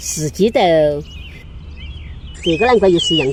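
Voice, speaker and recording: Over noticeable background noise, a woman speaks with a Sichuan accent. Her pitch is medium and her intonation lively. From Sichuan, China. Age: 80s+. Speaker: farmer. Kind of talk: casual talk while farming.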